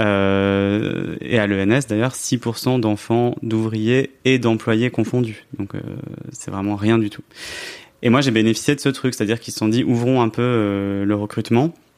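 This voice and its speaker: At a fairly slow pace, a man with a plain, everyday voice speaks in a medium pitch with fairly even intonation. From France, Grenoble. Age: 30s. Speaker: journalist and author. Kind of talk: podcast interview.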